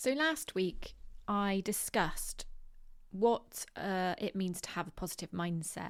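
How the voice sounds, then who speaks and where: In a West Country accent, a woman speaks at a medium pitch and a very slow pace. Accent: West Country accent, rhotic. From England, Bristol (West Country). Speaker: podcast host. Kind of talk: solo podcast monologue. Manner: many filler words (um, like).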